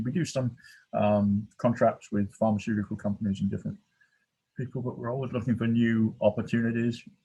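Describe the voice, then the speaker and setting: A man with an American accent speaks at a fairly quick pace in a dark, mellow tone and a medium pitch. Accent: English accent, jokingly called Texas. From England. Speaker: research scientist. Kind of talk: presentation. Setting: video call from his office. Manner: hesitant, many fillers.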